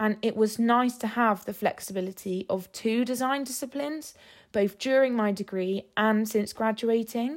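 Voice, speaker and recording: Very clean recording, silent background. A woman with an English accent speaks at fairly high pitch with ordinary pitch variation. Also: moderate pace. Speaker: graphic designer, social media manager. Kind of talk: scripted monologue.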